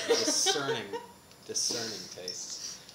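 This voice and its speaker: Loud noise fills the background while a man speaks. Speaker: interviewee. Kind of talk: interview answer. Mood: playful, laughing. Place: meeting room.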